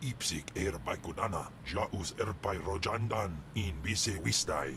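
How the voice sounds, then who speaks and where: A put-on character voice comes through over loud background noise. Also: man, very deep, low pitch for a man, fairly slow pace. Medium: video game. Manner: gruff, alien language.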